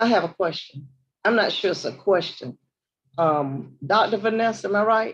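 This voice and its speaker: Speaking in a Southern US accent, a woman uses lively intonation at a medium pitch and a moderate pace. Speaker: board trustee. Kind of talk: board meeting comments. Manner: casual.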